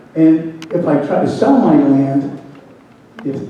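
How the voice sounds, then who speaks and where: A man is speaking. Background noise is noticeable, along with audible room echo. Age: 70s. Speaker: resident, landowner and grower. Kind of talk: public comment at township meeting. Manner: halting, repetitive.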